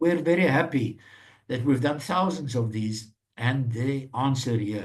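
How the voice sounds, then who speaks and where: Somewhat breathy, a man talks fairly slowly, his pitch varying in an ordinary way. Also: medium pitch for a man. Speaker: maths course facilitator. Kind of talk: online lecture.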